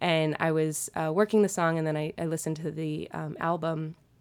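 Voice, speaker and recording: On a very clean recording with a silent background, a woman speaks at a moderate pace in an unremarkable speaking voice with a fairly low pitch. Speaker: actress and fitness instructor. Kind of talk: casual chat.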